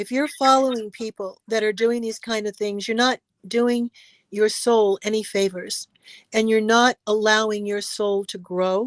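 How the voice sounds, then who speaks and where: A woman with an American accent, at a fairly slow pace and in a monotone, flat intonation, with a dry, close sound and no echo. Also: fairly high pitch for a woman, quiet background. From Los Angeles, US. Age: 70s. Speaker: actress and stuntwoman. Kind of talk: interview.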